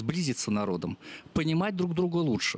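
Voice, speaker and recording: A man with a Russian accent speaks with very wide pitch swings. The sound is dry and close, with no echo. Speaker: theatre representative. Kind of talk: audience comment.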